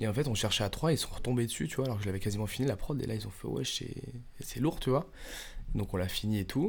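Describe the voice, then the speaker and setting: This man speaks at a very fast pace with a medium pitch. His intonation is lively, and his voice has vocal fry. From western Paris suburbs. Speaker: rapper in a music group. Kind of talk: casual interview.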